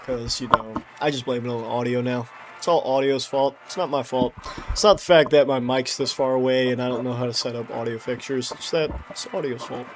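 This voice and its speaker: A man's mid-range voice keeps its intonation fairly even while noticeable noise sounds behind him. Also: fairly quick pace. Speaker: gaming streamer. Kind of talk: casual live stream chat. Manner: sleepy-sounding. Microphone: mic far away, poor audio setup.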